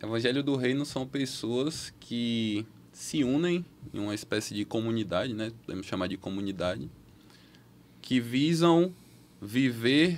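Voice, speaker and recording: With lively intonation, a man delivers his words fairly slowly. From Bahia, Brazil (Feira de Santana); Bahia, Brazil. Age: 20s. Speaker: medical student; podcast guest. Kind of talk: casual chat. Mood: earnest, testimonial. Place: studio. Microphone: studio mic.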